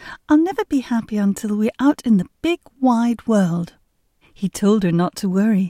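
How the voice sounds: Over a quiet background, lively intonation from a natural reading voice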